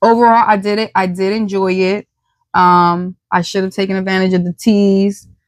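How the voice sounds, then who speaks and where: In an American accent, a woman speaks at a medium pitch and moderate pace with monotone, flat intonation. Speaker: podcast host. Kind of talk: casual chat. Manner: soft-spoken.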